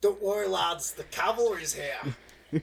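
Using a put-on character voice at middle pitch, the speaker goes at a fairly slow pace. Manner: bold, rallying.

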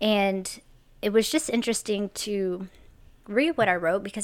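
The recording is very clean, with a silent background. A woman with an unremarkable speaking voice speaks at medium pitch with ordinary pitch variation. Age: 40s. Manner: casual, chatty, conversational.

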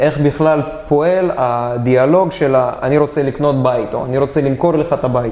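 This man's fairly high voice moves at a moderate pace, with noticeable background noise around it. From Israel, Dimona. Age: 20s. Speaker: real estate investor. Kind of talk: interview.

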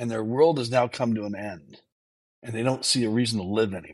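This man speaks at a medium pitch with ordinary pitch variation. His pace is moderate. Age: 50s. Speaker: entrepreneur and mental health advocate. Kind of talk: testimony.

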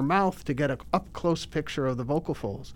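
A man with a plain, everyday voice, fairly high in pitch and fairly quick, in a very clean recording with a silent background. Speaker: ENT surgeon. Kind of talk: interview.

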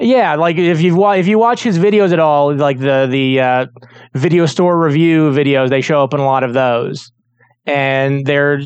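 A man with a fairly high pitch talks at a fairly slow pace, his pitch varying in an ordinary way. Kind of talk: casual chat.

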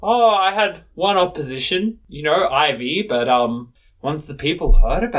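The text is read aloud in a natural voice.

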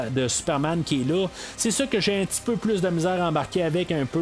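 Through noticeable background noise, a man with a Quebec accent speaks with lively intonation. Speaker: podcast host. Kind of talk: solo film review. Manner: hesitant, many fillers.

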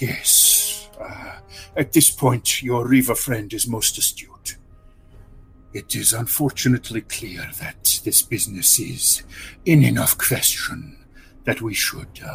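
A man uses a put-on character voice at a medium pitch. He goes at a fairly slow pace with long, frequent pauses, and faint music plays in the background. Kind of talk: fantasy roleplay voice. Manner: smooth, formal, courteous.

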